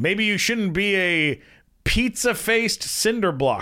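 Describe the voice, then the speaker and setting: A man puts on a character voice at a high pitch. He speaks at a fairly slow pace in a very clean recording with a silent background. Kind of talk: goofy. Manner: voiced for a dog character.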